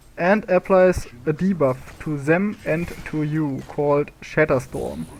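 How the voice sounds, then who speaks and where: Amid noticeable background noise, a man with a non-native accent and a fairly high pitch speaks very slowly with ordinary pitch variation. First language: not English. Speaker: gaming video creator. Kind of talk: tutorial. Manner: halting, many fillers.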